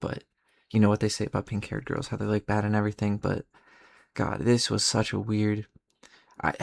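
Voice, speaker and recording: Spoken quietly in a flat monotone with long, frequent pauses, the voice has a dry, close sound with no echo. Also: man, fairly low pitch for a man, fairly quick pace. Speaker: vlogger. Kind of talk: casual storytelling.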